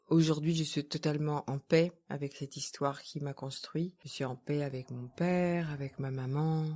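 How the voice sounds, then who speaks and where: A woman's very deep, low, dark and mellow voice in a monotone, flat delivery at a moderate pace with hardly any pauses, on a very clean recording with a silent background. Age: 60s. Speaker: therapist. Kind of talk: interview conversation.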